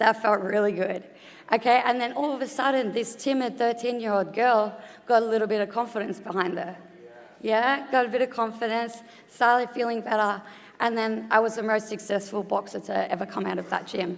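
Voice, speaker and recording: A woman speaks with an Australian accent at a fairly quick pace. Her pitch is fairly high and her intonation fairly even. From Australia, Geelong. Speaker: retired boxer, sports board member. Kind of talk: conference talk. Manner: conversational.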